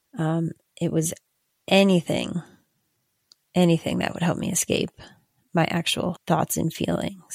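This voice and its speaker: A woman speaks at a fairly slow pace with a fairly low pitch, vocal fry and monotone, flat intonation. Her long, frequent pauses sit in a dry, close sound with no echo. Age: 40s. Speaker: podcast host in addiction recovery. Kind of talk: personal testimony monologue.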